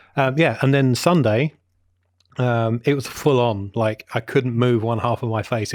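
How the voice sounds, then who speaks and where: Mumbling from a man of medium pitch in a Welsh accent, fairly even in intonation, with a dry, close sound and no echo. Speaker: film podcast co-host. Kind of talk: casual chat.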